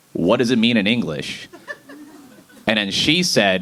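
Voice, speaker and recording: A man with an American accent speaks in very wide pitch swings over noticeable background noise. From Boston, US Northeast. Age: 30s. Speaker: stand-up comedian. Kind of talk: stand-up. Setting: stage with audience.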